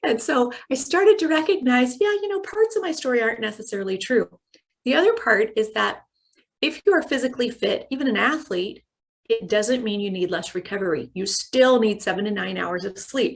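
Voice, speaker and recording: Speaking at a fairly quick pace, this voice swings very widely in pitch. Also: woman, high pitch for a woman. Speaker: corporate well-being trainer. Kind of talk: online training talk. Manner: fast.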